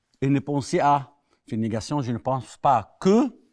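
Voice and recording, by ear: This man talks slowly at a medium pitch, his slightly mellow tone paired with lively intonation.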